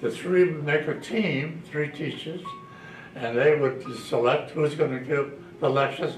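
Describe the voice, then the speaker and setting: Music plays behind a man, and the room echo is audible. He speaks at a moderate pace with a fairly high pitch and ordinary pitch variation. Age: 90s. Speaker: retired high school principal. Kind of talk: interview. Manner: halting.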